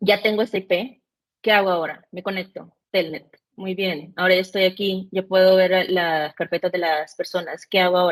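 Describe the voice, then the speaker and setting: A woman's medium-pitched voice stays monotone and flat in intonation, delivered at a moderate pace. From El Salvador, Central America (born in Mexico). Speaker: cybersecurity specialist, penetration tester. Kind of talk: podcast interview. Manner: hesitant, with many fillers.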